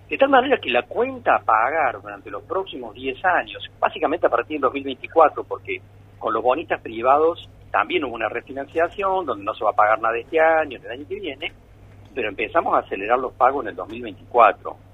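Lively in intonation, a man speaks at a fairly quick pace with big swings in loudness. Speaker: economist. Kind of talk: radio interview.

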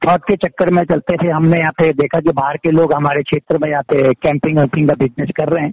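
The intonation of an unremarkable speaking voice remains fairly even. Its pace is moderate. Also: man. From Uttarakhand, Pauri Garhwal. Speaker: entrepreneur. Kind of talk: interview.

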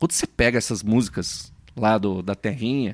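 The recording of this man is very clean with a silent background, its sound dry and close with no echo. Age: 30s. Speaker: podcast co-host, bassist. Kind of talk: casual chat.

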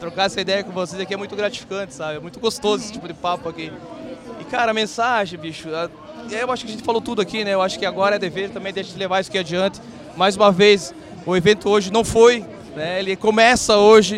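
A man talks very fast at a high pitch, with ordinary pitch variation. Noticeable background noise runs underneath. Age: 30s. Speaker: event co-founder. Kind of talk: casual interview. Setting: live event.

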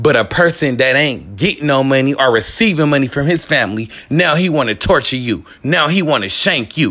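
A man's fairly high voice in an American accent, bright and sharp in tone, with lively intonation and a fairly quick pace. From Bay Area, California. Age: 30s. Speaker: former prisoner sharing life story. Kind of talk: personal testimony monologue. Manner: animated.

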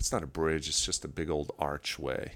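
A man with an American accent talks at a moderate pace in a very deep, low pitch with vocal fry. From New York (Long Island). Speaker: outdoor enthusiast. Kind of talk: casual chat.

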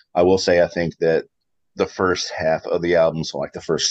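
A man with an American accent talks at a fairly quick pace. The sound is dry and close, with no echo. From Kentucky, US. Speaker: podcast co-host. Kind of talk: casual chat.

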